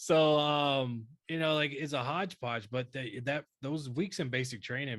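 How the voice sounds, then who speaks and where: With a Southern US accent, a man talks at a moderate pace in an animated tone, his pitch varying in an ordinary way. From North Carolina. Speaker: army veteran podcast co-host. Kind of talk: casual chat.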